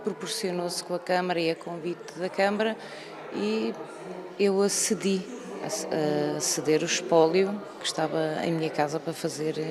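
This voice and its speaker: Speech at a moderate pace with ordinary pitch variation and long, frequent pauses comes through over noticeable background noise. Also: woman, fairly low pitch for a woman. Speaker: radio collector, museum co-founder. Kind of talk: TV interview.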